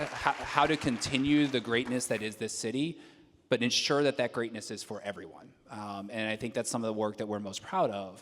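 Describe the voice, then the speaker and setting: A man speaks with a slight Southern US accent and ordinary pitch variation. His pace is fairly quick. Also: medium pitch for a man. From moved around a lot, partly New York and US South. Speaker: civic nonprofit leader, award honoree. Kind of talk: panel discussion. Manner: casual, many fillers and repeated words.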